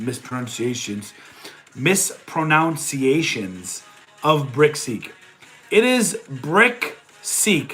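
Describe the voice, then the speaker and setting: Music plays in the background. The speaker has a Boston accent and very wide pitch swings. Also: man. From New England (Boston area). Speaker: online reseller and streamer. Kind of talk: live stream chat. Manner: animated.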